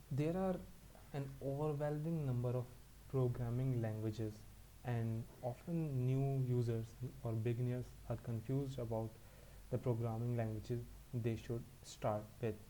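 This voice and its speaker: With a non-native accent, a man speaks at a fairly slow pace in a dark, mellow, medium-pitched voice, his intonation fairly even and his loudness very even. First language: not English. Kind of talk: educational talk to camera.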